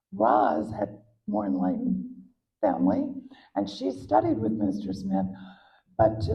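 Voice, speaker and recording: A woman with an American accent speaks at a fairly slow pace, with audible room echo. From US South, Atlanta, Georgia. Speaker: art history professor. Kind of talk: interview at a public talk. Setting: museum event with audience.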